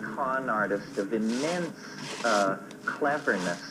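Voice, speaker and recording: A man talks over noticeable background noise. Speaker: lecturer. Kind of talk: lecture.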